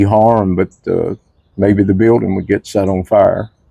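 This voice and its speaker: Speaking slowly-ish at a fairly slow pace, a man with a Tennessee accent uses a fairly low pitch, a dark, mellow tone and monotone, flat intonation, recorded dry and close with no echo. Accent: Southern US (Tennessee). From Nashville, Tennessee. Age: 70s. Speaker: former pharmacy worker. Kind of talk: oral history interview answer.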